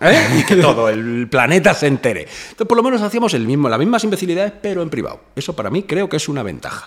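Very fast, high-pitched speech from a man with very wide pitch swings and hardly any pauses, over noticeable background noise. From Spain, Madrid area (Fuenlabrada). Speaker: rapper. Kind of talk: casual chat. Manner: animated.

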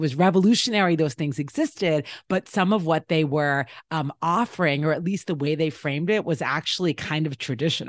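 A woman's very deep, low voice at a fairly quick pace, with ordinary pitch variation and very even loudness, dry and close with no echo against a quiet background. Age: 40s. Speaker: history professor and author. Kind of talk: interview.

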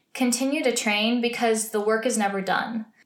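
A woman's fairly high voice at a moderate pace amid audible room echo. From US, small town. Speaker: podcaster, musical theater graduate. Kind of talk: casual solo podcast chat. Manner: animated.

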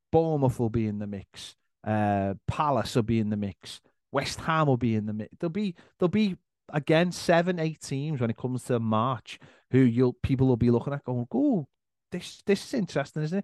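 Speaking at a moderate pace with a Liverpool accent, a man sounds dry and close with no echo against a quiet background. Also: medium pitch for a man, lively intonation. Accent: Scouse. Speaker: football fan content creator. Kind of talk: casual chat.

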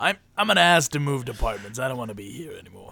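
Someone talks in a put-on character voice at a very fast pace. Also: man, medium pitch for a man. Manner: acted, monstrous voice.

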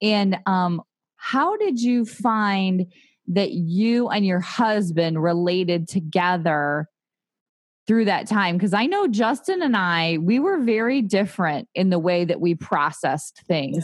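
A woman speaks in an ordinary speaking voice at medium pitch, with lively intonation. Her loudness stays very even over a quiet background. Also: fairly slow pace. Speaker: podcast host. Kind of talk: casual interview.

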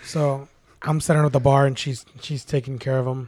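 A man's fairly high, dark and mellow voice, somewhat breathy, in a flat monotone at a fairly quick pace. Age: 30s. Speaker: bartender. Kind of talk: casual chat.

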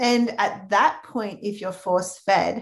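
A woman speaks in an Australian accent. Her voice has vocal fry. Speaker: health practitioner. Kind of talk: interview.

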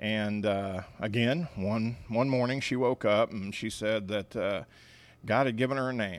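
Speaking at a moderate pace in a normal speaking voice, a man with an American accent keeps a medium pitch and ordinary pitch variation. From Missouri, Kansas City area. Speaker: nonprofit bakery founder. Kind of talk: interview. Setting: at the bakery.

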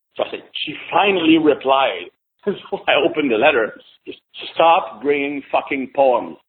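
A man talks at a moderate pace. He has a French Canadian accent. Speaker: podcast guest.

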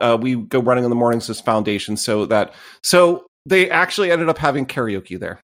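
This man has a normal speaking voice and talks at a fairly quick pace. His intonation is lively. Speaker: podcast host. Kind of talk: casual chat.

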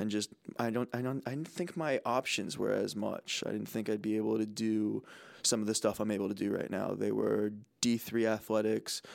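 Here is a man with an American accent and an unremarkable speaking voice, talking at a moderate pace with fairly even intonation and a fairly low pitch on a very clean recording with a silent background. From New Jersey. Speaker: college student podcast co-host. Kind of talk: casual chat.

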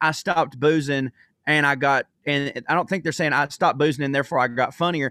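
In a dry, close sound with no echo, a man with a Southern US accent speaks in a bright, sharp tone. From US South. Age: 30s. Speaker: comedian. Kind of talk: casual chat. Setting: video call.

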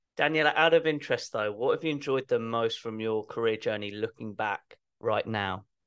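Against a quiet background, a man with an English accent speaks at a fairly quick pace. His pitch is medium, with ordinary variation. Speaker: podcast host. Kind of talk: interview.

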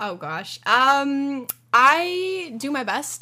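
A woman's bright, sharp voice with a Californian accent. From Southern California, Orange County. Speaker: newspaper editor. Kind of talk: casual interview.

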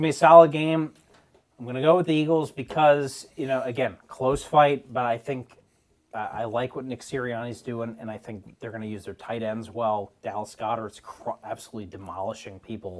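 Speaking in an unremarkable speaking voice at a medium pitch, a man moves at a fairly quick pace with ordinary pitch variation and big swings in loudness. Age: 30s. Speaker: sports podcast co-host. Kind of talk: casual chat.

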